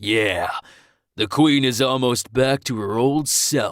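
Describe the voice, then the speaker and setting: A man's husky, growling put-on character voice, medium in pitch, at a fairly slow pace. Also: very clean recording, silent background. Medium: read story. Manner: crude and leering.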